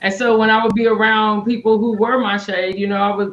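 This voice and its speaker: A woman's ordinary speaking voice, fairly high and fairly quick, with an American accent. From Tulsa, Oklahoma. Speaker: leadership coach. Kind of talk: casual chat.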